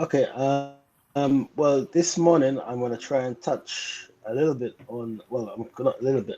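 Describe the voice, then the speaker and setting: Speaking in a London accent, a man with a medium pitch keeps a moderate pace and ordinary pitch variation. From England, South London. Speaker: beekeeper. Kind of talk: interview presentation.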